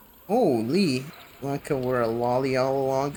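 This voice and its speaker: Medium-pitched male voice with ordinary pitch variation and noticeable background noise. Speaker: video game streamer. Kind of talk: casual chat. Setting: livestream. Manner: animated.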